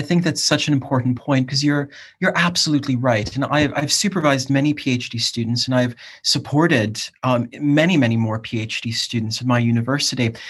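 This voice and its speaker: Speaking at a fairly quick pace, a man uses an American accent and a medium pitch. His voice is somewhat breathy, with ordinary pitch variation. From US, Cleveland, Ohio. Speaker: academic and PhD supervisor. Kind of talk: casual chat.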